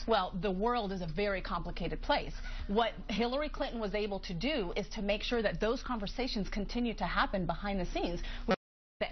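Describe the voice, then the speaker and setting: Somewhat breathy, a woman speaks at a fairly quick pace. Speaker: political commentator panelist. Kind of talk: panel discussion answer. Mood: defensive, earnest. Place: studio. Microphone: lapel.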